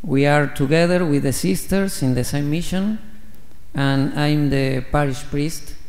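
A man with a Spanish accent speaks at a fairly slow pace and a fairly high pitch. His ordinary pitch variation carries audible room echo. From Argentina. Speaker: missionary priest. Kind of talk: homily. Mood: warm, grateful. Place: church. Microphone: podium.

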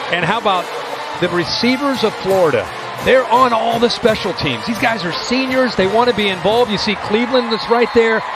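With music in the background, a man speaks at a moderate pace and a high pitch, with ordinary pitch variation. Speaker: color analyst. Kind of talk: live color commentary analyzing replays. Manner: critical, explanatory, somewhat halting.

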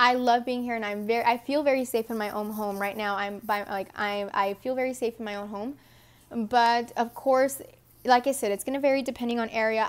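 The speaker talks at a fairly quick pace. The accent is American. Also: woman, fairly high pitch for a woman. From Texas. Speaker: vlogger. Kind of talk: casual Q&A vlog. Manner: animated. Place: home room. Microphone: earbuds.

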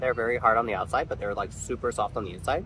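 Vocal fry runs through this very fast delivery. The sound is dry with no echo, though background noise is noticeable. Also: man. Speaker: travel vlogger. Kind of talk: casual vlog chat. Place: street. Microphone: phone near.

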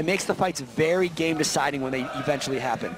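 A man at a very fast pace. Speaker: esports caster. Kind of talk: live commentary.

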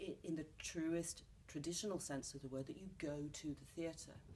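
A woman with a London accent speaks at a fairly slow pace in a very deep, low pitch with a dark, mellow tone and fairly even intonation over light background noise. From London, England. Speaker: actress and playwright. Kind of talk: interview answer. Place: studio.

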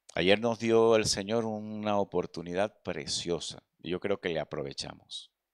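A man with a fairly low pitch and ordinary pitch variation speaks at a fairly slow pace against a quiet background. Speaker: preacher. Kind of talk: sermon. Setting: church. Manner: earnest, pastoral, direct appeals to the congregation; repetitive, stumbling starts with filler words. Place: church. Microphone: handheld.

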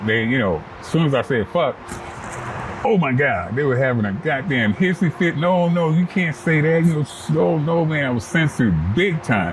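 Noticeable background noise behind a man talking at a moderate pace. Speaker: interviewee. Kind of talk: interview answer. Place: garden. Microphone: lapel.

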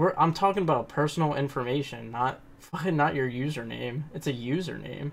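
A plain, everyday voice moves at a fairly quick pace with hardly any pauses. The pitch varies in an ordinary way. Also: man, fairly high pitch for a man. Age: 20s. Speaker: gaming YouTuber, online troll. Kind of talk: heated argument over game voice chat. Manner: argumentative, rapid back-and-forth.

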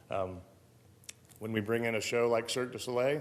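At a very fast pace, a man with a medium-pitched voice talks with fairly even intonation amid audible room echo. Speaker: event center manager. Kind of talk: public meeting testimony. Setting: city council chamber. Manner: direct; halting.

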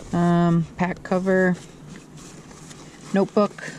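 Noticeable noise sits behind a man's speech. No echo is present, and the sound is dry. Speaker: outdoor vlogger. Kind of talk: casual vlog chat. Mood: relaxed, amused. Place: forest. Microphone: phone near.

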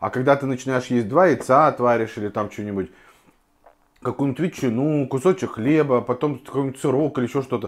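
A man talks at a fairly quick pace, his pitch variation ordinary. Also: quiet background. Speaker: home food vlogger. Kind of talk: casual vlog chat. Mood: relaxed, chatty. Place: kitchen. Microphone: lapel.

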